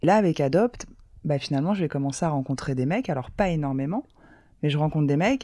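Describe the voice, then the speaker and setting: A woman speaks with a very deep, low pitch and lively intonation. The sound is dry and close, with no echo. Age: 30s. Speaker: communications officer sharing dating story. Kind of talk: personal testimony. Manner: hesitant, many fillers.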